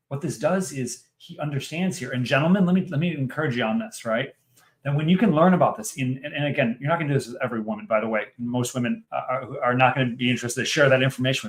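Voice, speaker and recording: This man's fairly high voice races along at a very fast pace, with lively intonation and big swings in loudness. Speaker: podcast host. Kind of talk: casual interview conversation. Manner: animated.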